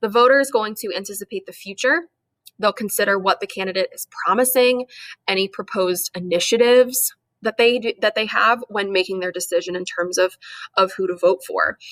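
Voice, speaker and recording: Speech at a fairly quick pace, recorded with a dry, close sound and no echo. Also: woman, medium pitch for a woman, ordinary pitch variation. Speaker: high school government teacher. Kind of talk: lecture. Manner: fast.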